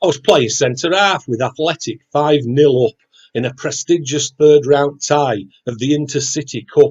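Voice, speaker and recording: A somewhat breathy man with a Yorkshire accent speaks at a moderate pace. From West Yorkshire (Wakefield). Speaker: poet. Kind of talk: poetry reading; casual chat.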